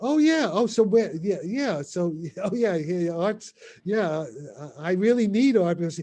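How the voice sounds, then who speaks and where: Lively intonation runs through a man's dark, mellow tone. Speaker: theoretical physicist. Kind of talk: casual Q&A discussion. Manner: fast; halting, repetitive.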